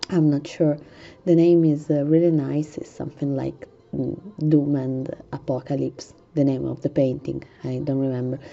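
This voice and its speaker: A woman with a very deep, low voice, monotone, flat intonation and a moderate pace, amid noticeable background noise. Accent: Italian. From Italy. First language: Italian. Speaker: gaming tutorial youtuber. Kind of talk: tutorial. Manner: halting, many fillers.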